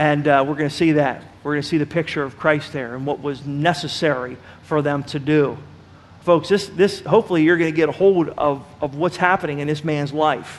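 Fairly even intonation and a fairly quick pace in a plain, everyday voice. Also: man, fairly high pitch for a man. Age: 40s. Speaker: pastor. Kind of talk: sermon.

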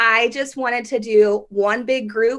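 A woman with a Midwestern US accent, fairly high in pitch, with fairly even intonation and a bright, sharp tone. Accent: US Midwest. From Kansas, Derby near Wichita. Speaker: wedding photographer. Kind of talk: podcast interview.

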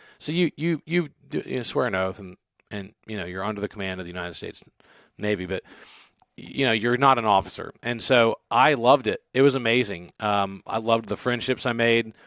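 A plain, everyday voice with an American accent at a fairly quick pace, with ordinary pitch variation and big swings in loudness, dry and close with no echo, on a very clean recording with a silent background. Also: man, medium pitch for a man. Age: 40s. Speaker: entrepreneur and former city councilman. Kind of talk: casual interview chat.

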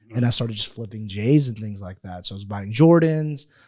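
Recorded very cleanly over a silent background, a man with a medium pitch and a dark, mellow tone speaks at a fairly quick pace with ordinary pitch variation. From Houston, Texas, US (born in Pakistan). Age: 20s. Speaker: entrepreneur, agency founder. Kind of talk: casual interview. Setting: studio.

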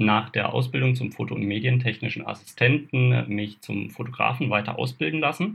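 A man at medium pitch with vocal fry, at a moderate pace. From southern Baden, Kaiserstuhl near Freiburg. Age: 20s. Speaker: photographer and camera shop adviser. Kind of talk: casual interview.

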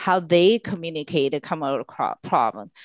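A woman with a Chinese accent speaks at a fairly low pitch with ordinary pitch variation, her voice dry and close with no echo against a quiet background. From China. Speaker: clean tech executive. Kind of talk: interview.

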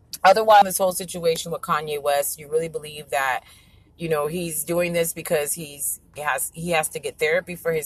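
A woman talks fairly quickly while noticeable background noise carries on. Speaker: online radio host. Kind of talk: casual monologue show sign-off. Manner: casual, loose.

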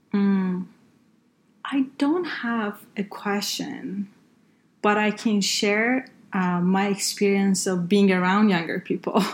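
A woman speaks very slowly in a somewhat breathy, medium-pitched voice with ordinary pitch variation. The recording is very clean, with a silent background. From northern Iran. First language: Persian (Farsi). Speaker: healthcare consultant and engineer. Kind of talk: interview. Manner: halting, many fillers.

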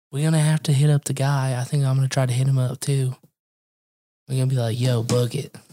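At a very fast pace, the voice runs flat and monotone with a dark, mellow, somewhat breathy tone, very even loudness, and a dry, close sound free of echo. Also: man, medium pitch for a man. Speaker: podcast host. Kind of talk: casual chat.

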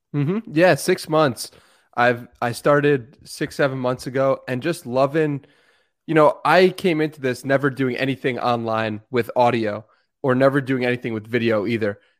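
Over a very clean recording with a silent background, a man with an unremarkable speaking voice talks at a moderate pace in a medium pitch with ordinary pitch variation. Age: 20s. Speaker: podcaster. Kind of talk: casual chat.

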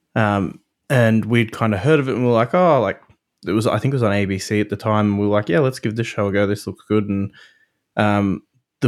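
This man speaks at a moderate pace in a fairly low pitch. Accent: Australian. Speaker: podcaster and father. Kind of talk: casual chat.

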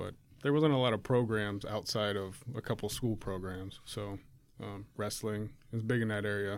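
Fairly low in pitch, a man with an American accent and a plain, everyday voice speaks with fairly even intonation. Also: moderate pace. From rural Ohio. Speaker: former wrestler. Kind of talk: casual chat.

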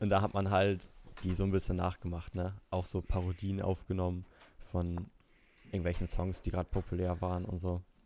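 A man speaks with a very deep, low pitch and a dark, mellow tone in a very clean recording with a silent background. His delivery is fairly quick, his intonation monotone and flat. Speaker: student and YouTuber. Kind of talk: casual chat.

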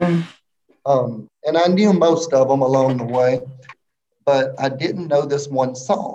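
A man with a Mississippi accent speaks in a fairly high pitch and a dark, mellow tone at a fairly slow pace, with ordinary pitch variation, very even loudness, and long, frequent pauses. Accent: US Southern (Mississippi). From Mississippi, small town between Jackson and Hattiesburg. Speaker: elementary school teacher. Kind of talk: casual interview chat.

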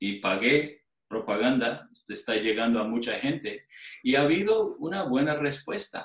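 Here a man speaks with lively intonation. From outside Spain. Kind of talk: interview. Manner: halting.

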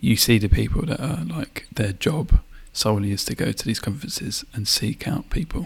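A man's fairly low voice with vocal fry and lively intonation, at a moderate pace. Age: 30s. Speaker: podcast co-host. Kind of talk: casual chat.

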